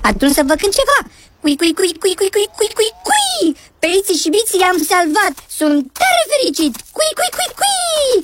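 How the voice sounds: A put-on character voice with a fairly bright tone, very wide pitch swings and few pauses.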